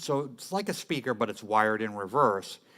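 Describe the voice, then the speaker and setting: In a very clean recording with a silent background, a man speaks at a moderate pace and a fairly low pitch. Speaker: music gear tutorial host. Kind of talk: tutorial. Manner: casual, with many fillers. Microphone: very close to mic.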